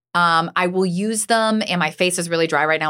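Very fast speech from a woman in a bright, sharp tone, on a very clean recording with a silent background. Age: 40s. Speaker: podcast host, TV news anchor. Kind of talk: casual chat.

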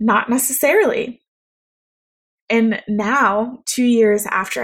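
On a very clean recording with a silent background, a woman speaks in a somewhat breathy voice at a fairly high pitch with ordinary pitch variation. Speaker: podcast host, embodiment coach. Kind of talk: solo podcast monologue. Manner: calm, soft-spoken.

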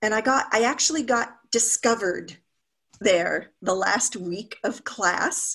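A woman with a plain, everyday voice and a fairly high pitch speaks at a fairly slow pace with lively intonation. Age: 50s. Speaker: happiness coach. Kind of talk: casual interview.

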